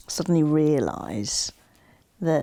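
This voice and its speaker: An English accent colors a woman's fairly low voice, which has a dark, mellow tone. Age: 60s. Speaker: interviewee sharing personal story. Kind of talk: casual interview conversation.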